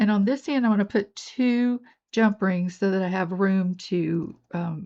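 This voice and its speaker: Against a quiet background, a woman speaks fairly slowly in a dark, mellow tone with ordinary pitch variation. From US South, North Georgia. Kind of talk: tutorial. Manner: casual, chatty.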